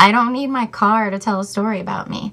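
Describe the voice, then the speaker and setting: A woman talks at a fairly quick pace. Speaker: vlogger. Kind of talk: casual chat. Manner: animated.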